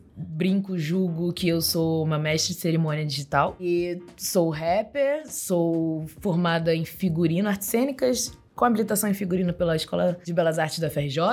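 Over music in the background, a woman with a fairly low pitch talks at a moderate pace with ordinary pitch variation and hardly any pauses. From Baixada Fluminense, Rio de Janeiro, Brazil. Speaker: digital influencer and rapper. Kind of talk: interview conversation.

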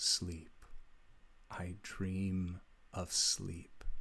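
A man puts on a character voice that sounds robotic. His pitch is very deep and low. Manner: eerie, dreamlike.

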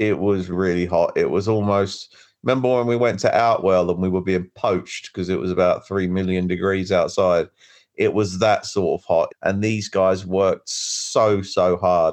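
Fairly low male speech at a moderate pace, a plain, everyday voice with fairly even intonation and a quiet background. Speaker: podcast co-host and wrestler. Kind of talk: casual chat, show review. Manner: casual, swearing, conversational.

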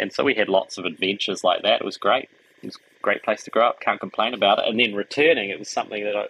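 With a New Zealand accent, a man speaks at a very fast pace. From New Zealand, Wellington. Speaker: architect. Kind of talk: interview conversation.

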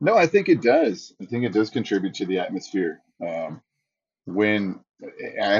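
A man talks in a normal speaking voice with a fairly low pitch. His pace is moderate. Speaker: ring announcer. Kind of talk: casual interview chat; ring announcer call-out. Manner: relaxed, conversational.

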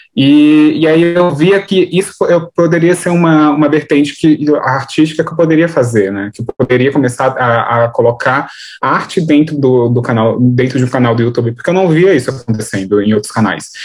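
A man's unremarkable speaking voice, fairly high in pitch, with lively intonation at a moderate pace. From São Paulo, Brazil (Grajaú, south side periphery). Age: 20s. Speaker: artist and activist, content creator. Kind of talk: interview conversation.

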